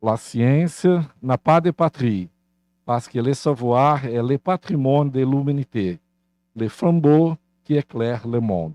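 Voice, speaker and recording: In a Portuguese accent, the voice moves at a very slow pace with long, frequent pauses and a dark, mellow tone. The sound is dry and close with no echo, over a quiet background. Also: man, medium pitch for a man. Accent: Portuguese-speaker accent in French. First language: Portuguese (speaking French). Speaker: university leader. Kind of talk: formal welcome speech.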